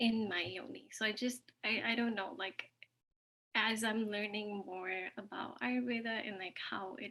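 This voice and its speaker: A woman speaks with a bright, sharp tone, her fairly high pitch held to fairly even intonation. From Ontario, Canada. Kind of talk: sharing circle introduction. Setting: video call from work. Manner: slow.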